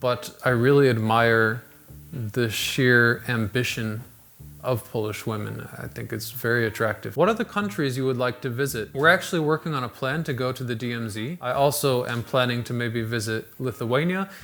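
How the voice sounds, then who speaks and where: Music in the background behind a man's medium-pitched voice with an American accent, ordinary pitch variation, and a moderate pace. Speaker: YouTube host. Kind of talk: casual Q&A monologue.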